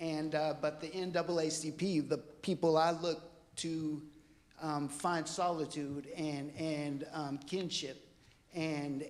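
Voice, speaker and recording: With audible room echo, a man speaks at a fairly high pitch in monotone, flat intonation. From US Pacific Northwest, Port Orchard area. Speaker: public commenter. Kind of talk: public comment at council meeting. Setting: council chambers. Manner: halting.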